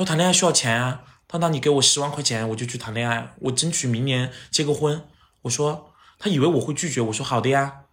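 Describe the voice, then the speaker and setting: The delivery is animated and very fast. Pitch varies in an ordinary way. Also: man, fairly high pitch for a man. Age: 30s. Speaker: TV host and actor. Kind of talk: casual chat. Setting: at his home.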